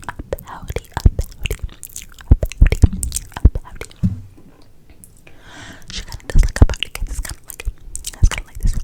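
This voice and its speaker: A woman whispering at a fairly quick pace, with long, frequent pauses, big swings in loudness and noticeable background noise. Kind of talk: ASMR video. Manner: whispered.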